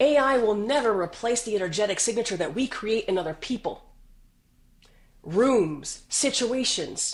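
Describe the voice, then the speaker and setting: Against a quiet background, a woman with an American accent speaks at a fairly high pitch in an animated tone, with very wide pitch swings. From US South. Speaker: business executive. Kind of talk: podcast interview.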